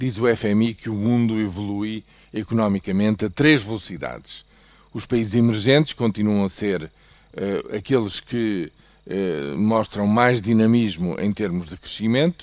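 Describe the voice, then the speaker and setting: A man with a European Portuguese accent, fairly low pitch, ordinary pitch variation, and a fairly slow pace. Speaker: economics commentator. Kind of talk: news commentary. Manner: hesitant with fillers.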